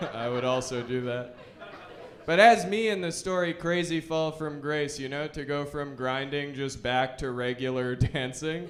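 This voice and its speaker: A man with a fairly high pitch and ordinary pitch variation speaks at a moderate pace over noticeable background noise. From Alberta, Canada. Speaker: stand-up comedian. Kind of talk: stand-up comedy set.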